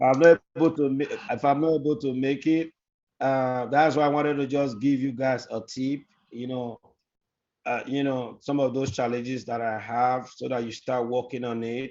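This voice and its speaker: A man speaks with a strong non-native accent. His intonation is fairly even and his pace moderate. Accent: very deep foreign. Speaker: guest speaker giving career tips to students. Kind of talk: advice talk in online class.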